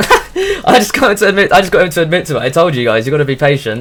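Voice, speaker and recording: A man with a British accent at a very fast pace, against noticeable background noise. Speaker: streamer. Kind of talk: casual chat. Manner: stuttering; animated.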